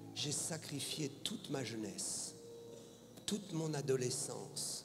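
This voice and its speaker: Over noticeable background noise and audible room echo, a man talks at a very slow pace with a fairly high pitch and lively intonation. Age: 60s. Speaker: pastor. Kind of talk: sermon. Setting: stage with audience.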